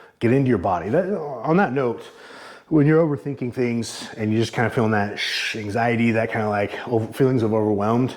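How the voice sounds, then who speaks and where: Amid audible room echo and noticeable background noise, a man delivers his words at a fairly quick pace. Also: medium pitch for a man, ordinary pitch variation. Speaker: fitness vlogger. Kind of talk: casual workout vlog talk. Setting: home garage gym. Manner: halting, out of breath while lifting.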